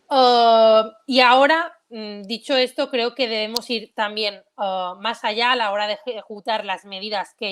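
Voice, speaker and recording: A woman speaks at a fairly high pitch. Her pace is fairly slow and her intonation fairly even. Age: 20s. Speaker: politician. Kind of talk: online talk presentation. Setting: video call. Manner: hesitant, many fillers.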